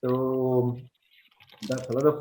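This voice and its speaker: A man speaks with a Spanish accent. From Chile. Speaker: survival instructor. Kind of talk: webinar lecture. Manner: halting, with fillers.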